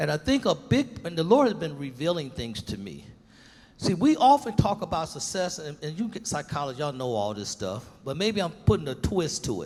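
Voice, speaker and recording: This man speaks at a fairly quick pace in a fairly high pitch with vocal fry, his pitch swinging very widely and his loudness shifting in big swings. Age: 70s. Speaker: pastor and panelist. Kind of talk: panel discussion. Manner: animated.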